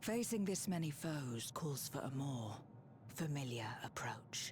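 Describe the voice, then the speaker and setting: In a put-on character voice pitched low-to-middle, the speaker goes at a fairly slow pace over clear background noise. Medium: video game. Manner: dry, self-assured.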